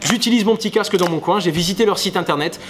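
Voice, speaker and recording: A man talks with ordinary pitch variation. Background noise is noticeable. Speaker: crypto YouTuber. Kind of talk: casual vlog monologue. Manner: fast.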